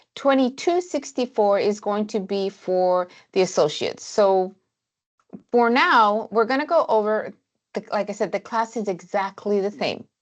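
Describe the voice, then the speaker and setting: Set against a quiet background, a normal speaking voice moves at a moderate pace with lively intonation. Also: woman, fairly high pitch for a woman. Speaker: college baking instructor. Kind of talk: lecture.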